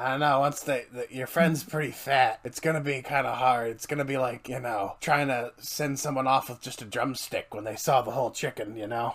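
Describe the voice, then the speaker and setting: Here a man puts on a character voice. He speaks in a medium pitch at a moderate pace. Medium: actual play. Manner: conspiratorial, apologetic, casual.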